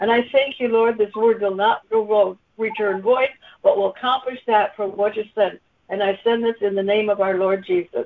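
A woman's plain, everyday voice, fairly high in pitch with fairly even intonation. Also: moderate pace. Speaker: conference call participant sharing a word. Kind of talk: scripture reading and sharing. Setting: conference call.

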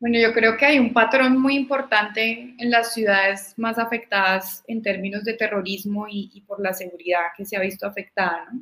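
With a bright, sharp tone and big swings in loudness, a woman speaks at a fairly high pitch, a moderate pace and with fairly even intonation. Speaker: young right-wing party politician. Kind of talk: political panel discussion.

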